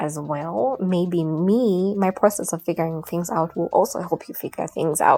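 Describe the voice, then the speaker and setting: Speaking with a Ugandan accent, a woman has a fairly low pitch and ordinary pitch variation at a moderate pace. Music plays in the background, and the sound is dry and close with no echo. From Uganda (Buganda). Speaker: podcaster. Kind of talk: casual monologue. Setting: at home on her bed. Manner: unscripted, informal.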